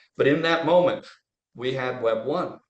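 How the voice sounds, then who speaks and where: There is audible room echo around the man speaking. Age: 70s. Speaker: trial lawyer and tech investor. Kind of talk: casual interview chat. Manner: animated.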